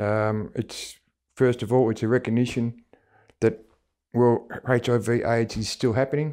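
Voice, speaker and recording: With an Australian accent and a dark, mellow tone, a man speaks at a medium pitch in a flat, monotone manner. His pace is fairly slow, with long, frequent pauses. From Australia, Melbourne area. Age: 60s. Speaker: HIV-positive community member. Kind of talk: personal testimony interview. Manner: hesitant, many fillers.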